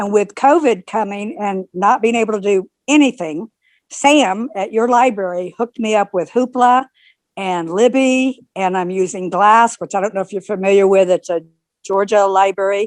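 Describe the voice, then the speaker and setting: Heard against a quiet background, an ordinary speaking voice moves at a moderate pace with ordinary pitch variation, the sound dry and close with no echo. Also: woman, medium pitch for a woman. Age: 60s. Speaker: audience member. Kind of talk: casual chat.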